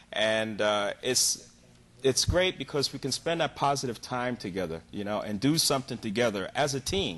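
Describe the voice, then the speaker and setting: A man with a normal speaking voice talks at a moderate pace in a medium pitch, his intonation lively against a quiet background. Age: 60s. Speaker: dance teacher. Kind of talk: TV interview.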